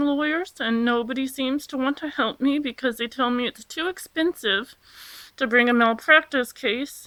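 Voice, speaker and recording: A woman talks at a moderate pace. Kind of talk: personal testimony vlog. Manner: halting, many ums.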